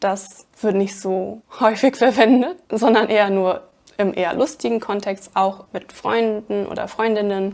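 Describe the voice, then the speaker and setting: A woman speaks at a fairly slow pace in a fairly high voice, with hardly any pauses. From Germany, Aachen (Rhineland). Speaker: language teacher. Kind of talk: tutorial. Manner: unscripted, conversational.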